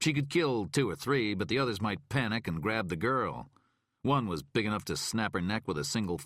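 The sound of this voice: Lively intonation runs through an unforced reading voice. The background is quiet.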